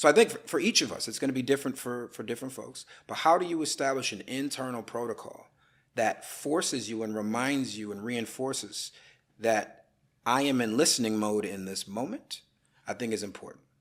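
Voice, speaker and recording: On a very clean recording with a silent background, a man talks at a fairly quick pace in an ordinary speaking voice of medium pitch, with ordinary pitch variation and big swings in loudness. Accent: American. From US Midwest, Madison Wisconsin. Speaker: attorney and political analyst. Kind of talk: podcast interview.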